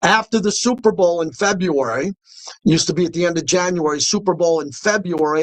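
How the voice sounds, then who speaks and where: An animated man with an American accent talks at a fairly quick pace in a high pitch with ordinary pitch variation, the sound dry and close with no echo. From New York. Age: 60s. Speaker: sports radio host. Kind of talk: radio monologue.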